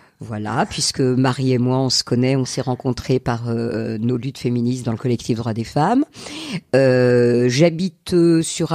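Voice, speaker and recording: Over noticeable background noise, a woman speaks at a fairly slow pace in a very deep, low pitch with ordinary pitch variation. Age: 60s. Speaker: retired teacher. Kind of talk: interview. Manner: halting.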